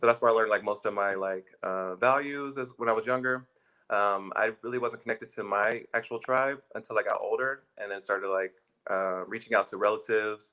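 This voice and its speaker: With an American accent, a man speaks fairly quickly at a medium pitch and with fairly even intonation. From Texas, Austin. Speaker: graduate student, panelist. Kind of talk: panel discussion. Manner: hesitant, many fillers.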